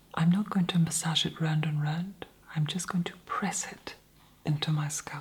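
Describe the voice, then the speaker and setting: Noticeable background noise surrounds a man with a fairly high pitch. His intonation is flat and monotone. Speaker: ASMR creator. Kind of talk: ASMR self-treatment narration. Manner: soft-spoken, slow.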